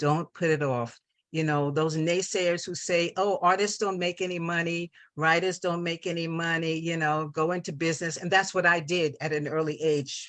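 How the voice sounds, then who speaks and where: A woman with an American accent speaks at a moderate pace in a plain, everyday voice with fairly low pitch. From New York. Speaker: visual artist and radio host. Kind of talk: interview. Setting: live TV talk show studio.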